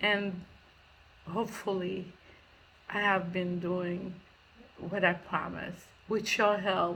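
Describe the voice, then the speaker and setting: A woman's bright, sharp, medium-pitched voice, very slow and monotone, with flat intonation and audible room echo. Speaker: charity founder. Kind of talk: recorded thank-you message. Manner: halting.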